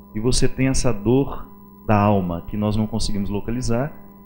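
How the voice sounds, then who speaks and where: A man at a moderate pace, with lively intonation and music in the background. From Minas Gerais, Brazil. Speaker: priest and writer. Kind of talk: interview answer.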